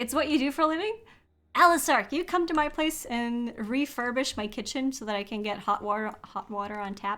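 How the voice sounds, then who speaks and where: A woman speaks at a fairly quick pace in a high, bright and sharp voice with lively intonation. The recording is very clean, with a silent background. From Norway. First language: Norwegian. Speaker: game streamer. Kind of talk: casual chat. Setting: live stream.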